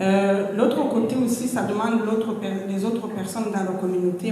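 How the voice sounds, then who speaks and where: A woman speaks at a medium pitch and a moderate pace, her intonation monotone and flat. Noticeable background noise and audible room echo come through. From Rwanda. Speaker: talk show panelist. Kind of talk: panel discussion. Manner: hesitant, with fillers and repetitions.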